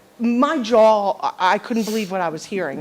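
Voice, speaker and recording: Background noise is noticeable throughout. The woman keeps a moderate pace. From South Jersey. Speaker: resident speaking at public comment. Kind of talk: public comment at council meeting. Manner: loud, forceful; halting, many restarts.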